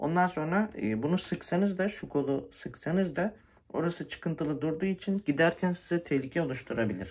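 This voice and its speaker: A man talks at a fairly quick pace. His voice is high-pitched. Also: ordinary pitch variation. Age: 20s. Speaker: tech YouTuber; scooter owner reviewer. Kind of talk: product review tutorial. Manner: casual with frequent fillers. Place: home room. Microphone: phone near.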